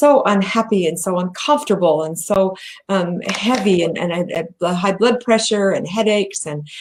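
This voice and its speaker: Speaking with an American accent, a woman has an ordinary speaking voice, medium pitch, ordinary pitch variation and a moderate pace. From US. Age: 60s. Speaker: bariatric patient advocate and company president. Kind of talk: interview presentation. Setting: video call livestream.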